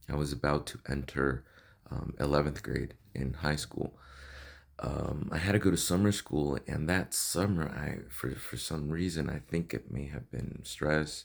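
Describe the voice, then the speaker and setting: A man with a Spanish accent speaks at a very deep, low pitch with vocal fry. His pace is fairly slow and his pitch varies in an ordinary way. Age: 30s. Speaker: vlogger sharing personal health story. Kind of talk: personal testimony vlog. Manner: hesitant, many fillers and repetitions.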